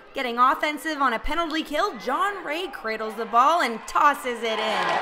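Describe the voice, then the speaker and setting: Projecting loudly over crowd noise, a woman talks high and fairly slowly with lively intonation. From Canada. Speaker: sports reporter. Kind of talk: TV sports news report. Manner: energetic.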